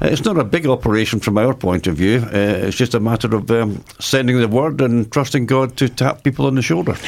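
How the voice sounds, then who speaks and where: A man with an unremarkable speaking voice talks at a fairly quick pace and very even loudness. His medium pitch shows ordinary variation. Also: hardly any pauses. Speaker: charity coordinator. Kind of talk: radio interview.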